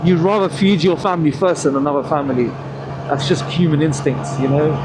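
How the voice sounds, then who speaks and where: Over noticeable background noise and audible room echo, a man with a British accent speaks at a fairly quick pace and fairly high pitch, with ordinary pitch variation and very even loudness. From England. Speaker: motorcycle vlogger. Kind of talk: casual monologue while riding.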